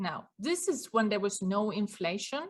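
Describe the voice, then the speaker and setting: Speaking fairly slowly in a Swedish accent, a woman with a somewhat breathy, medium-pitched voice is heard on a very clean recording with a silent background. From Sweden. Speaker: business owner and cost consultant. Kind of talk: interview.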